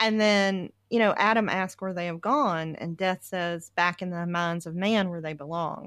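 A woman's normal speaking voice with an American accent, fairly low in pitch, with ordinary pitch variation, a moderate pace and hardly any pauses, on a very clean recording against a silent background. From US South. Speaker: podcast host, researcher. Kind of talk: casual book discussion.

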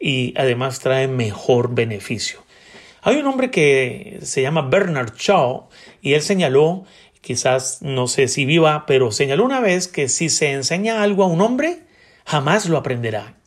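A man's somewhat breathy voice moves fairly slowly, and his intonation is lively. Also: fairly high pitch for a man. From Colombia, Bogotá. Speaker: podcast host. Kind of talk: book review talk.

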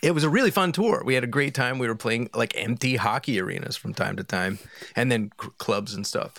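An ordinary speaking voice, this man talks at a fairly quick pace with an American accent, a medium pitch and lively intonation. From Philadelphia, US. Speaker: musician. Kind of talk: casual chat.

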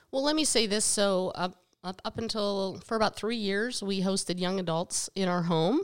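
A woman with an American accent and an unremarkable speaking voice, medium pitch, ordinary pitch variation and a moderate pace. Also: very clean recording, silent background. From western Pennsylvania, US. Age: 50s. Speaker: podcast co-host, mother of the other co-host. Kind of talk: casual chat.

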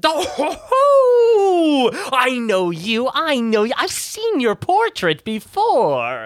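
A man's put-on character voice, extremely high-pitched, very slow, with hardly any pauses. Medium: actual play. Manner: gushing, stammering.

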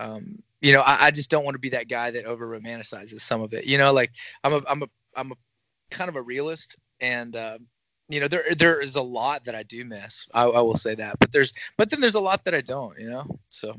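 Big swings in loudness at a fairly quick pace, with ordinary pitch variation. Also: man, medium pitch for a man. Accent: Southern US. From northwest Arkansas. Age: 30s. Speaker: merch business owner, former rock musician. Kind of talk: casual chat. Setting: at home.

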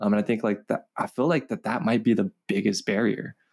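Heard here is an unremarkable speaking voice with an American accent. It moves at a fairly quick pace with lively intonation. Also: man. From Los Angeles, California. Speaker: campus ministry communications manager. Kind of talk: interview.

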